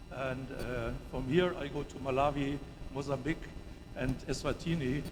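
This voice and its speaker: The man's voice sits fairly high in pitch and moves at a moderate pace. Room echo is audible. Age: 70s. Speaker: professor. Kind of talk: conference presentation. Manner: halting, many fillers.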